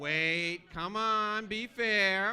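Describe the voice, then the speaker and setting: A man's raised, projected voice, high in pitch, bright and sharp in tone, with an American accent. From New York. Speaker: motivational business speaker. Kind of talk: keynote speech. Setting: stage with audience. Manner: fast; animated.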